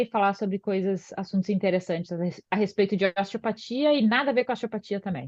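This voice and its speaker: A woman at a fairly quick pace, medium in pitch, with ordinary pitch variation. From southern Brazil, Porto Alegre. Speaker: osteopath and physiotherapist. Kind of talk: podcast interview. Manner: hesitant, many filler sounds.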